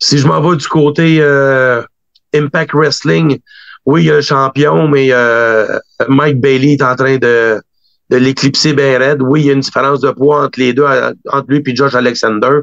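In a Quebec accent, a man talks at a fairly slow pace with long, frequent pauses. His voice is fairly high, with ordinary pitch variation and very even loudness. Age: 40s. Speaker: wrestling booker and promoter. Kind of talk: interview.

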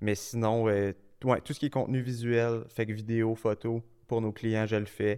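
Fairly slow and monotone, with flat intonation, a man speaks at a medium pitch in a dark, mellow tone on a very clean recording with a silent background. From Quebec, Quebec City area. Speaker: marketing agency co-founder. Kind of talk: casual interview.

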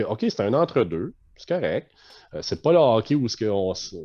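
A man's medium-pitched voice with a Quebec accent, dark and mellow in tone, at a fairly slow pace, with very wide pitch swings, dry and close with no echo, over a quiet background. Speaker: umpire supervisor. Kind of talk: casual chat.

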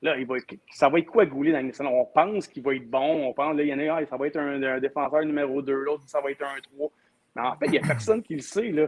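Rattling along at a very fast pace, a man with a fairly high pitch is heard in a dry, close sound with no echo. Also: ordinary pitch variation. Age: 40s. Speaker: hockey commentator. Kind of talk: casual chat.

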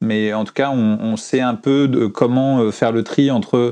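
Against a quiet background, a man speaks with a dark, mellow tone and fairly even intonation. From France. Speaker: comic book author. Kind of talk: interview. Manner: hesitant, with repetitions.

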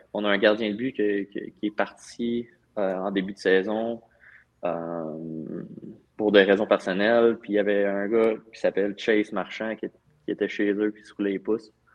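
Fairly slow and fairly low-pitched, a man talks in a normal speaking voice with fairly even intonation and big swings in loudness. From Val-d'Or, Quebec. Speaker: professional hockey player. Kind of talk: casual interview.

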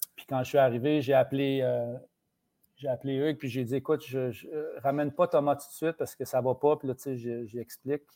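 At a moderate pace, a man talks in a medium pitch with a dark, mellow tone and monotone, flat intonation. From Quebec, rural village (Saint-Ours). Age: 50s. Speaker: TV host and journalist. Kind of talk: casual interview chat.

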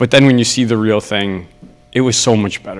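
A man talks at a fairly quick pace in a plain, everyday voice. His pitch sits in the medium range with ordinary variation. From Ontario, Canada. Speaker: karate instructor and competitor. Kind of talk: casual interview.

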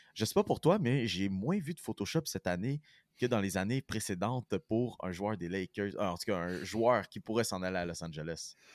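Recorded very cleanly against a silent background, a man with a fairly low pitch speaks at a moderate pace with lively intonation, the sound dry and close with no echo. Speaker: sports podcast host. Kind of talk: casual chat.

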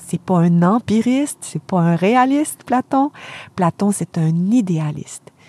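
Very slow speech comes through dry and close with no echo. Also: woman. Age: 50s. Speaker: philosophy professor. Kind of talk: lecture-style explanation in interview. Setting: camper van used as studio.

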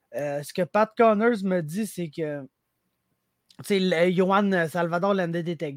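A man with a Quebec accent and a high pitch at a very slow pace, dry and close with no echo, on a very clean recording with a silent background. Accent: Québécois French. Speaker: MMA commentator. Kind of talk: casual chat.

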